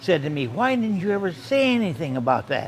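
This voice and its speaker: A man with an American accent talks at a moderate pace. His pitch swings very widely over noticeable background noise. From Michigan. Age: 90s; old. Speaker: war veteran; barista. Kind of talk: interview answer.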